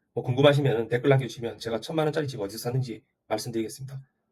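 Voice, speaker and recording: Somewhat breathy, a man speaks at medium pitch. His pace is very fast and his pitch varies in an ordinary way. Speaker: real estate YouTuber. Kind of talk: opinion monologue. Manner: assertive.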